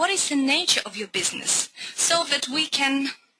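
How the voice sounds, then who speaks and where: The voice belongs to a woman and is high-pitched. She talks fairly slowly. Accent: Russian. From Russia. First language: Russian. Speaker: business coach. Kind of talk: webinar presentation. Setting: online webinar.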